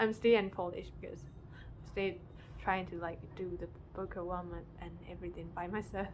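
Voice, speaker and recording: Audible room echo surrounds a woman speaking at a moderate pace. Her loudness swings widely. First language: non-English. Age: 20s. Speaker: amateur singer-songwriter vlogger. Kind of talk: casual vlog talk to camera. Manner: hesitant, many fillers and restarts.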